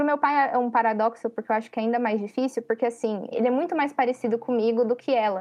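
Words come out at a very fast clip. Pitch moves with ordinary variation. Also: woman. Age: 20s. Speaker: university student. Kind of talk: casual chat.

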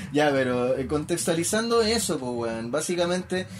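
There is audible room echo as a man with a Chilean accent speaks at a moderate pace and a fairly high pitch. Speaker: podcast co-host. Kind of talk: casual chat.

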